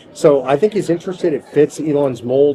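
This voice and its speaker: At a moderate pace, a man speaks while noticeable background noise carries on around him. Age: 60s. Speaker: political activist leader. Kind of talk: interview.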